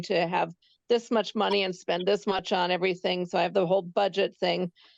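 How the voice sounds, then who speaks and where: Vocal fry in a dry, close sound with no echo and a quiet background. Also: woman. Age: 60s. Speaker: artist. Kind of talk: testimony. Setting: phone call into online event. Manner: hesitant, many fillers. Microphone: phone line after computer crashed.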